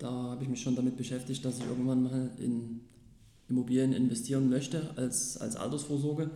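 A man's dark, mellow voice at a moderate pace, monotone and flat in intonation, with audible room echo. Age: 30s. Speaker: sales representative and property investor. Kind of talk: interview. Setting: office.

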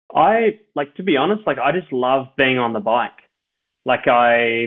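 A man with a medium-pitched voice and an Australian accent. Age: 30s. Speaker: professional ultra cyclist. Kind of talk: interview, personal storytelling.

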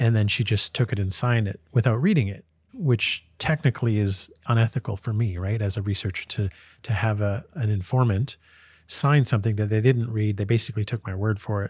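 On a very clean recording with a silent background, a man talks at a fairly quick pace in a fairly low, somewhat breathy voice with ordinary pitch variation. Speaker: professor. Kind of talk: casual interview.

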